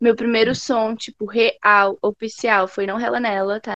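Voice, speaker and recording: A woman speaks at a fairly slow pace in a fairly high pitch, with fairly even intonation. It's a plain, everyday voice. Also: dry, close sound with no echo. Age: 20s. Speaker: rapper. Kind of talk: casual chat.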